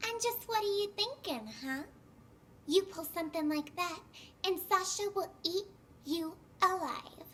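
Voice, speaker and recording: Putting on a character voice, a woman speaks at an extremely high pitch with lively intonation at a moderate pace, leaving long, frequent pauses, over clear background noise. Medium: video game. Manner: breezy, sassy.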